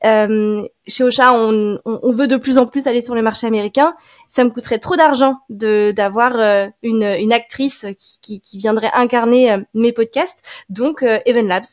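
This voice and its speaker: A woman with an unremarkable speaking voice talks fairly slowly at a fairly high pitch, her intonation fairly even but her loudness swinging widely. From France. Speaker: podcast marketing specialist. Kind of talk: casual interview.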